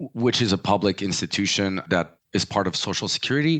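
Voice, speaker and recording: Speaking with a French accent, a man keeps a moderate pace and ordinary pitch variation. The sound is dry and close with no echo, over a quiet background. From US, French family. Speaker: pricing and market access consultant. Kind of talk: interview. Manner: hesitant fillers.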